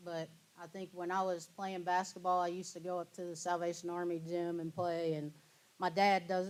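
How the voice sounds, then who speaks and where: In a Kentucky accent, a woman with a medium-pitched voice speaks at a moderate pace. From Kentucky (New Zion, near Georgetown). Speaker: guest speaker, former basketball player. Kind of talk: Q&A after lecture.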